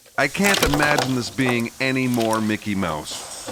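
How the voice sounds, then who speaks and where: Noticeable background noise is present. The man delivers his words at a moderate pace. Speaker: car restoration YouTuber, tire shop owner. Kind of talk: casual vlog narration.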